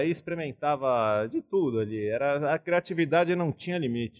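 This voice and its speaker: A man's fairly high voice with lively intonation and a São Paulo accent, dry and close with no echo, in a very clean recording with a silent background. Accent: São Paulo Brazilian Portuguese. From São Paulo, Brazil. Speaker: architect and craft brewer. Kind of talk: casual interview conversation.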